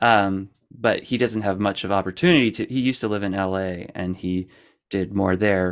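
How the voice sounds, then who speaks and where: With an American accent, a man talks at a moderate pace in a normal speaking voice with a fairly low pitch. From Pennsylvania, US. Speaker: musician. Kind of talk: casual chat. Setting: video call.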